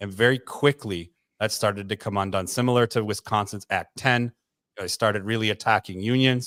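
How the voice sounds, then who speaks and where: In an American accent, a man with a plain, everyday voice and a fairly low pitch talks at a fairly quick pace with fairly even intonation, the sound dry and close with no echo. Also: very clean recording, silent background. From Michigan, US. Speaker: education professor and show co-host. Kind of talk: radio talk show discussion.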